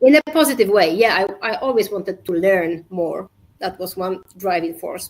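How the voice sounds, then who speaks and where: A woman's medium-pitched voice with a Polish accent, lively intonation, big swings in loudness and a moderate pace. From Poland. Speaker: safety culture consultant and entrepreneur. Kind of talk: podcast interview. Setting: live video podcast. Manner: halting.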